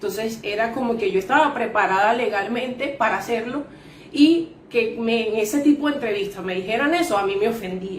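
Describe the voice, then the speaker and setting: Noticeable background noise and audible room echo are in the recording. The woman's pitch is fairly high. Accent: Venezuelan. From Venezuela. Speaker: insurance sales agent. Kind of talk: interview testimony.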